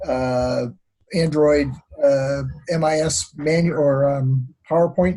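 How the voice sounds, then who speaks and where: A somewhat breathy, fairly high male voice with a dark, mellow tone, fairly even intonation and an American accent. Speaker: online course instructor. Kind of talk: virtual graduation ceremony. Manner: hesitant, many fillers.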